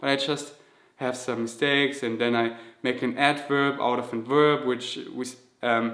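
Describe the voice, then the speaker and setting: A man is speaking. He has a slight German accent. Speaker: vegan fitness youtuber. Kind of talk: Q&A vlog. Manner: halting, self-correcting.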